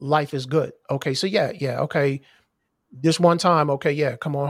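In a very clean recording with a silent background, a man with an American accent and a normal speaking voice talks at a moderate pace, fairly high in pitch and with fairly even intonation. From US Mid-Atlantic (Maryland, DC area). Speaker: podcast host. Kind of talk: casual interview conversation.

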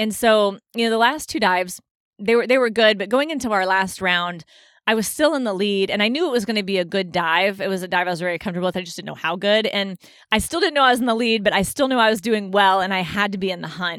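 A woman of medium pitch talks at a very fast pace on a very clean recording with a silent background. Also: ordinary pitch variation. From United States. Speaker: retired Olympic diver. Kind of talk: interview.

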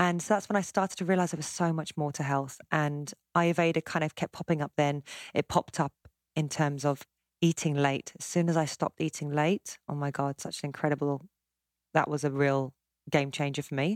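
In an English accent, a woman speaks fairly quickly with a very deep, low pitch and fairly even intonation, in a dry, close sound with no echo and a very clean recording over a silent background. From South West London, England. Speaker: cookbook author and chef. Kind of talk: casual chat.

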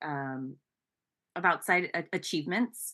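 Over a quiet background, a woman speaks fairly slowly in a bright, sharp tone with lively intonation. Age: 40s. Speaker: singer and entertainer. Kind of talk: interview conversation.

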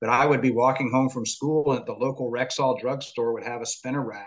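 A man with an American accent speaks in a normal speaking voice at a fairly quick pace, his medium pitch held in fairly even intonation. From Florida, US. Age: 50s. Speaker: lawyer and wrestling biographer. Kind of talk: interview.

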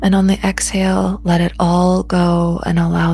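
A soothing, warm tone at a fairly slow pace, over noticeable background noise. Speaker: meditation guide. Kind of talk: guided meditation, slow body-scan breathing instructions. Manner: slow, soothing, gently paced with pauses; soft-spoken, warm and invitational.

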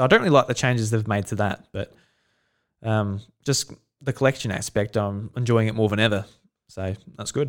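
A man with an Australian accent and a fairly low pitch, fairly quick pace yet long, frequent pauses, fairly even intonation, and a very clean recording with a silent background. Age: 20s. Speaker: podcast host. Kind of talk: casual chat.

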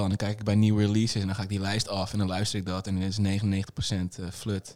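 This man has an ordinary speaking voice, pitched fairly low. He talks at a moderate pace. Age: 30s. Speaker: DJ and festival organiser. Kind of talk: casual interview. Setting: club venue.

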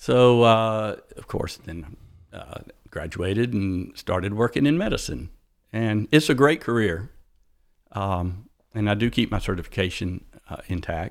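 Very clean recording, silent background: a man with a Southern US accent speaks at a fairly slow pace. His intonation is lively, with big swings in loudness and long, frequent pauses. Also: fairly low pitch for a man. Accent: Southern US (Georgia). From US South, south Atlanta, Georgia. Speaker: motorcycle shop owner, former physician assistant. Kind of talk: interview.

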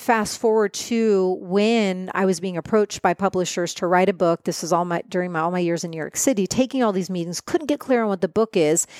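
With a normal speaking voice, a woman talks at medium pitch and a fairly quick pace with hardly any pauses and ordinary pitch variation, the sound dry and close with no echo. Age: 40s. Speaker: shaman and author. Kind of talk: casual chat. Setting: in person recording.

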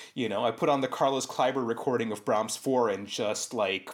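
Here a man speaks fairly quickly in an animated tone. His pitch sits in the medium range and varies in an ordinary way. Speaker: violinist. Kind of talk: conversational interview. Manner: animated, many fillers like 'like'; reflective, articulate.

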